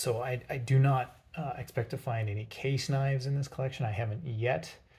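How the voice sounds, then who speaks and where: A man speaks soft-spoken. His voice is somewhat breathy. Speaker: pocketknife collection YouTuber. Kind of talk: show-and-tell monologue. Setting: home workshop. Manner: halting, many fillers.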